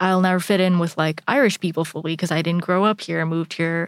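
A woman with an American accent talks at a fairly quick pace in a fairly low pitch and fairly even intonation, with a plain, everyday voice. The recording is very clean, with a silent background and a dry, close sound with no echo. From India, Indonesia and the US. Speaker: psychology PhD researcher. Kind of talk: casual chat.

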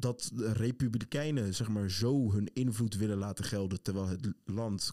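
Dark and mellow in tone, a man's fairly low voice moves at a fairly slow pace with ordinary pitch variation in a dry, close sound with no echo. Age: 20s. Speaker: podcast host. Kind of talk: casual chat. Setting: studio.

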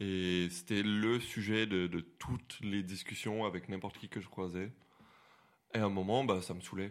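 A man speaks fairly slowly in a fairly low pitch. His is an ordinary speaking voice, with fairly even intonation. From Quebec, Montreal. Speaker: visually impaired guest. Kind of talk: casual chat.

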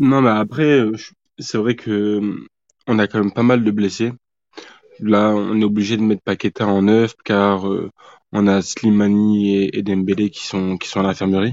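Speaking at a fairly slow pace, a man keeps his intonation fairly even and leaves long, frequent pauses. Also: fairly low pitch for a man. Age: 20s. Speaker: football fan podcast guest. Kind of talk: casual chat.

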